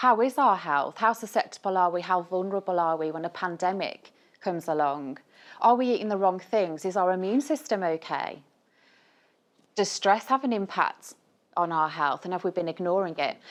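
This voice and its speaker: Intonation is lively, and the pace is moderate. The background is quiet. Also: woman, medium pitch for a woman. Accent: Birmingham. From Birmingham, England. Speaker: nutritionist. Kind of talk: conference talk. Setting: stage with audience. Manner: animated.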